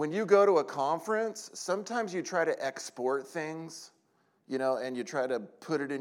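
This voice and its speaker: Speaking at a moderate pace with an American accent, a man uses lively intonation on a very clean recording with a silent background. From California. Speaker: preacher. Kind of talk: sermon. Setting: church conference with audience. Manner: animated.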